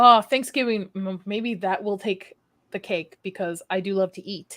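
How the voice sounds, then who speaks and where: A woman's medium-pitched, bright and sharp voice, fairly slow, with fairly even intonation and big swings in loudness. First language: not English. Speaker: livestream host. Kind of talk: casual chat. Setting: livestream.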